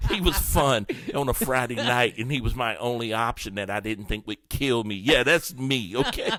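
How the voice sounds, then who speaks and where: Music plays behind a man with an American accent and a medium pitch, whose animated tone carries ordinary pitch variation at a moderate pace. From New Orleans, Louisiana (born East Texas). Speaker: comedian. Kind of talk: casual chat.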